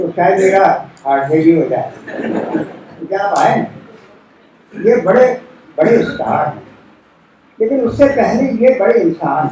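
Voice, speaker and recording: There is noticeable background noise as a man talks in a high pitch with very wide pitch swings. He leaves long, frequent pauses. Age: 80s+. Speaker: poet. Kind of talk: speech at a literary event.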